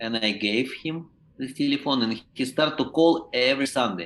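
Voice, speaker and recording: A man speaks with a non-native accent at a moderate pace. His pitch is medium, with ordinary variation. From Ukraine. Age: 50s. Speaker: professional clown and teacher. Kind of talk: podcast interview. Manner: halting, with many restarts.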